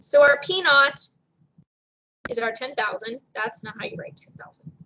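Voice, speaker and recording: A woman's high, raised, projected voice makes very wide pitch swings and big swings in loudness. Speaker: math teacher. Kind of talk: lecture. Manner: fast.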